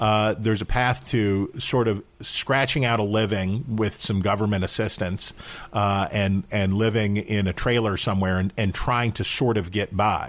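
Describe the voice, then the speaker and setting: With an American accent and a plain, everyday voice, a man speaks at a fairly low pitch and a moderate pace, with hardly any pauses, fairly even intonation and very even loudness, on a very clean recording with a silent background. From West Virginia, Wheeling. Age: 40s. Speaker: political commentator. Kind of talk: interview.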